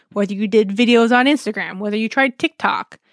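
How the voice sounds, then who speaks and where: At a very fast pace, a woman speaks with a fairly high pitch in a very clean recording with a silent background and a dry, close sound with no echo. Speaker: podcast host. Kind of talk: solo podcast monologue. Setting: home recording. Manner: casual, filler-heavy.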